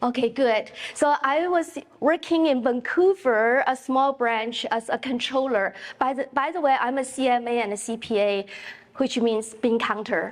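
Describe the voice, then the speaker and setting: A woman speaks with a Chinese accent and a high pitch. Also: ordinary pitch variation, moderate pace. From China. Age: 50s. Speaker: realtor and real estate investor. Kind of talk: keynote speech. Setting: stage with audience. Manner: animated.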